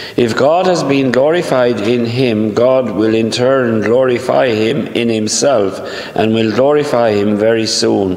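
A man talks at a fairly slow pace with hardly any pauses and ordinary pitch variation. His loudness stays very even, and room echo is audible. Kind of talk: homily and scripture reading. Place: church. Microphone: camera far.

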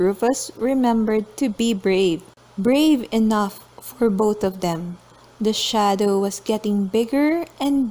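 This clip is reading aloud in a natural voice. The pitch shifts in an ordinary way.

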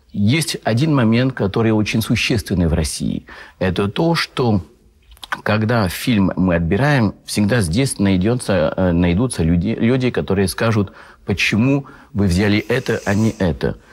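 With a French accent, a man speaks fairly slowly at a fairly low pitch, his intonation lively and his loudness very even, over a quiet background. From France. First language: French (speaking Russian). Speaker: film festival correspondent. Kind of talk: talk show interview. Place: studio.

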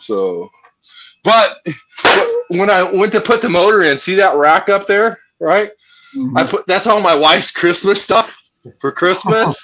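At a fairly slow pace, a man talks in a raised, projected voice of high pitch, with ordinary pitch variation and big swings in loudness. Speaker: racer and airport worker; caller. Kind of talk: casual chat. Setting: video call. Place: garage. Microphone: video call.

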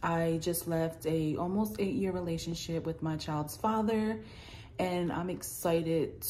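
A dark, mellow, somewhat breathy tone with an American accent, lively intonation and a fairly slow pace. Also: woman. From US Northeast, New Jersey. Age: 30s. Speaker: vlogger. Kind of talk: casual vlog introduction. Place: home room. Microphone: phone near.

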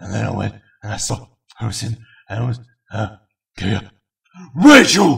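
A man's cartoonish character voice at medium pitch and a moderate pace, with long, frequent pauses. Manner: garbled, silly comedic delivery.

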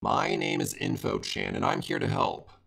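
In a put-on robotic character voice, a man talks at a moderate pace. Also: high pitch for a man. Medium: machinima. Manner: impatient, sassy.

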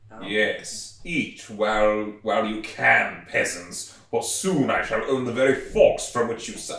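A man's put-on character voice at medium pitch, fairly slow in pace, with slight echo. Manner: haughty, pompous, theatrical.

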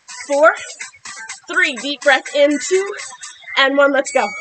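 A woman's raised, projected voice at a moderate pace, with very wide pitch swings and music in the background. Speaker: fitness instructor. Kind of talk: workout coaching cues. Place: garden.

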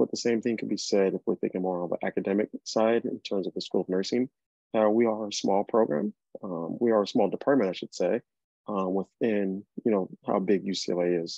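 A man speaks at a fairly quick pace in a fairly low pitch with a dark, mellow tone, the sound dry with no echo and the background quiet. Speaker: presenter. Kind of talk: informational presentation. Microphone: video call.

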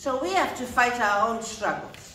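A woman talks at a moderate pace amid audible room echo and light background noise. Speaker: conference speaker. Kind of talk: speech. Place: hall.

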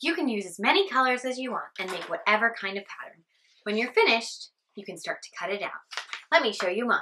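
A woman talks at a very fast pace with lively intonation. There is light background noise. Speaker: teacher. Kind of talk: craft tutorial for children. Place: office. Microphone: camera far.

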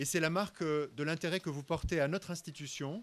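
The man's pitch moves in an ordinary way as he talks at a moderate pace. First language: French (speaking Spanish). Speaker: university director; guest. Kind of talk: formal welcome speech. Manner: formal. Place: hall. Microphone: podium.

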